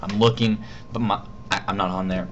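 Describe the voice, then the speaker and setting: A mumbling man, fairly low in pitch, amid audible room echo and noticeable background noise. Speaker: vlogger. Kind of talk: casual vlog storytelling. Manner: halting.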